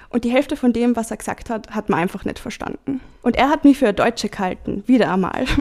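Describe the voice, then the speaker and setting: Fairly high in pitch with ordinary pitch variation, a woman speaks in an unremarkable speaking voice. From Salzburg region, Austria (Hallein). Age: 20s. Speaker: diary slam participant. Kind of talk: reading aloud.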